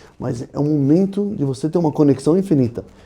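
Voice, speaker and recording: A man with a non-native accent talks at a fairly quick pace. His tone is dark and mellow, his pitch fairly high, with ordinary pitch variation. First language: not Portuguese (speaking Portuguese). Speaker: rabbi. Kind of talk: podcast interview.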